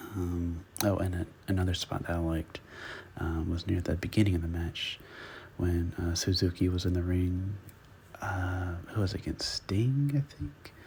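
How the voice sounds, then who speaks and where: On a very clean recording with a silent background, a man speaks at a moderate pace in a very deep, low, somewhat breathy voice with fairly even intonation. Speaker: wrestling reviewer. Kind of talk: ASMR whispered review.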